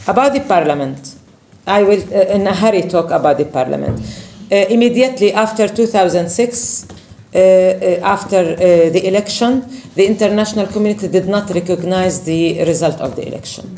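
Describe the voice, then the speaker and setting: A woman speaks with lively intonation. Her pace is fairly quick. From Palestine. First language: Arabic. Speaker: politician. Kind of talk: speech. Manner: halting. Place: meeting room. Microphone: camera far.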